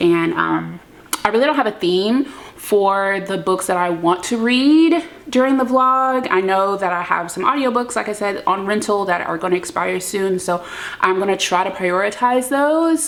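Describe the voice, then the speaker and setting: A woman with a medium-pitched voice and lively intonation talks at a moderate pace over noticeable background noise. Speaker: book vlogger. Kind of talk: casual chat. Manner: filler-heavy, chatty.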